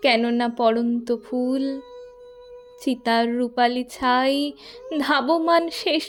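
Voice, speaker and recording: A woman speaks at a high pitch. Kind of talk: poetry reading.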